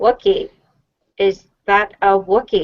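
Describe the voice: A female-sounding voice puts on a character voice at medium pitch.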